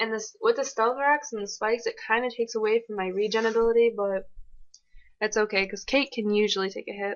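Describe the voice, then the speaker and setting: A woman talks at a very fast pace over music in the background. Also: fairly high pitch for a woman. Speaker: gaming commentator. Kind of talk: gameplay commentary. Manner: animated.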